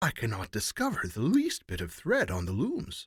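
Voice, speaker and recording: A man's put-on character voice at medium pitch and a moderate pace, on a very clean recording with a silent background. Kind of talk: old-fashioned fairy tale reading. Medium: read story.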